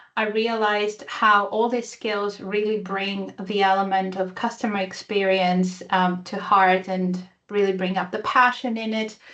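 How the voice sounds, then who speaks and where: Against a quiet background, a woman at medium pitch speaks fairly slowly in a bright, sharp tone with monotone, flat intonation. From Greece/Italy. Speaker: tech community speaker. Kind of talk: conference presentation. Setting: virtual user group online.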